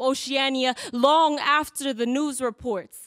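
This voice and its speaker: A woman at a high pitch and fairly slow pace, with ordinary pitch variation over a quiet background. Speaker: spoken word poet. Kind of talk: spoken word poetry performance. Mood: grieving, defiant. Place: hall.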